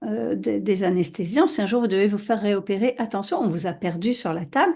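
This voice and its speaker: The tone is dark and mellow, delivered at a moderate pace. The background is quiet. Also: woman. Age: 60s. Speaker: podcast host. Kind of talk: casual interview.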